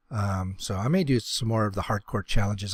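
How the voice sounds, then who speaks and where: A man's voice comes through somewhat breathy. The recording is very clean, with a silent background. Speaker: gaming YouTuber. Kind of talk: casual gameplay commentary. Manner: hesitant, many fillers; fast.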